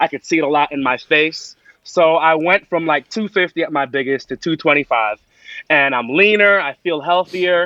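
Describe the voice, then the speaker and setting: The man's voice is a plain, everyday voice, fairly high in pitch with ordinary variation. He keeps a moderate pace. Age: 40s. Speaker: chef. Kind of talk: casual chat.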